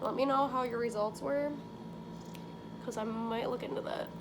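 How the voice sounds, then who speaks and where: Noticeable background noise runs under the speech. Audible room echo fills the recording. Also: woman. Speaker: beauty vlogger. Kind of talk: tutorial. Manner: casual, filler-heavy; loud.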